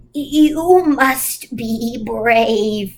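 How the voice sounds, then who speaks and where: A woman's high-pitched, put-on character voice with ordinary pitch variation. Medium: read story. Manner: commanding, solemn.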